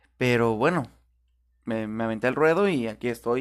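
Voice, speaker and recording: In a very clean recording with a silent background, a man speaks at a moderate pace and medium pitch. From Tijuana, Baja California, Mexico. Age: 20s. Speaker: podcaster. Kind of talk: casual monologue. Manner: hesitant, with fillers.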